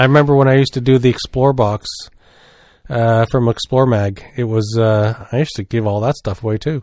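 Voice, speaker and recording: A man at medium pitch with a Maritime Canadian accent, fairly quick pace and fairly even intonation, in a dry, close sound with no echo on a very clean recording with a silent background. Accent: Maritimes Canadian. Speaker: podcast co-host. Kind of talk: casual chat.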